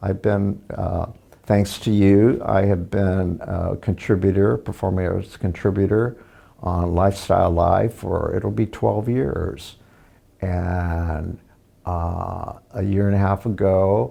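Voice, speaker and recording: In an American accent, a man speaks very slowly with a very deep, low pitch and ordinary pitch variation. His tone is dark and mellow. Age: 70s. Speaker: arts contributor and TV producer. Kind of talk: interview conversation. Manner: halting, with fillers.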